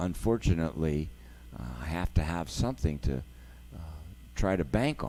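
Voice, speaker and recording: A man with an American accent speaks at a fairly slow pace. His dark, mellow voice makes very wide pitch swings. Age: 60s. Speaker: jazz organist and live-stream host. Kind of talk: casual live-stream talk. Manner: relaxed.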